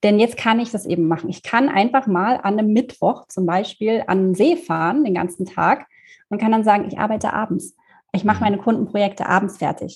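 A woman speaks at a fairly quick pace in a medium pitch. Her voice is somewhat breathy, with ordinary pitch variation. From Germany, Thuringia (Erfurt). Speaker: social media freelancer. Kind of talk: casual interview.

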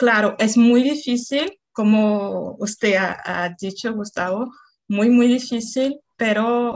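Speaking very slowly with a Portuguese accent, a woman uses a fairly high pitch and ordinary pitch variation. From Brazil, Salvador, Bahia. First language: Portuguese (speaking Spanish). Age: 30s. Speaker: Spanish learner. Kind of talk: casual chat.

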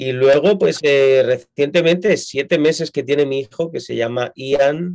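A man's fairly high voice at a fairly slow pace, with ordinary pitch variation and hardly any pauses. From Spain, Madrid. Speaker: pastor. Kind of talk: interview.

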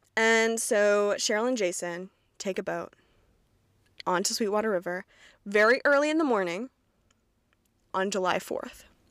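A woman with an American accent speaks at a moderate pace and medium pitch, with ordinary pitch variation and long, frequent pauses, on a very clean recording with a silent background. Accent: slight Southern, mostly Midwestern-sounding. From Kentucky, US South. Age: 20s. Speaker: podcast host. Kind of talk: casual solo podcast monologue. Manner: casual, chatty, self-deprecating.

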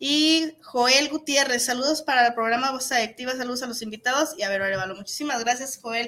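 A woman uses a raised, projected voice with a high pitch and ordinary pitch variation. Her pace is fairly quick, with hardly any pauses. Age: 40s. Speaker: internet radio host. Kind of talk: casual interview. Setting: radio studio.

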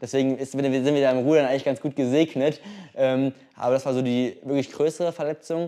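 This man's voice sits at a medium pitch with a dark, mellow tone and a fairly quick pace. His intonation is monotone and flat. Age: young. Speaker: competitive rower. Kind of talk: interview. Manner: hesitant, filler-heavy.

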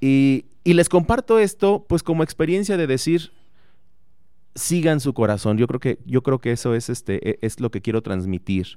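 A man's dark, mellow tone at a fairly slow pace, with very wide pitch swings, on a very clean recording with a silent background. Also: medium pitch for a man. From Mexico, Morelia, Michoacán. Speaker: engineering professor and researcher. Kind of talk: radio interview.

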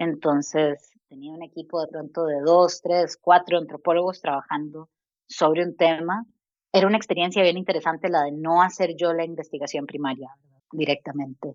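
A plain, everyday voice from a woman, fairly low in pitch, at a moderate pace with fairly even intonation and big swings in loudness. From Costa Rica. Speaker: design researcher. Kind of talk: interview.

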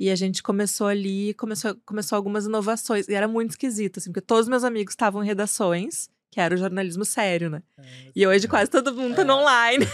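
A woman at medium pitch, very fast and with hardly any pauses, ordinary pitch variation and big swings in loudness, in dry, close sound with no echo on a very clean recording with a silent background. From Porto Alegre, Rio Grande do Sul, Brazil. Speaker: advertising executive. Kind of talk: casual chat.

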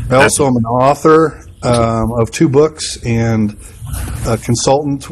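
Noticeable background noise sits behind a man whose medium pitch carries fairly even intonation. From Wisconsin. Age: 40s. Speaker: pastor and church consultant. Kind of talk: interview conversation. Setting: pastor's office.

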